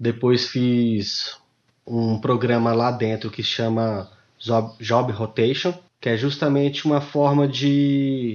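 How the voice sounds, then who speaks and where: A man with a medium pitch talks at a very slow pace with fairly even intonation. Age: 30s. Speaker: lab administrative assistant. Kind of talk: casual interview.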